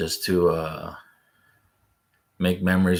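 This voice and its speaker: Soft-spoken, a man with a very deep, low pitch talks in a monotone, flat intonation. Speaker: fishing vlogger. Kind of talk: casual chat.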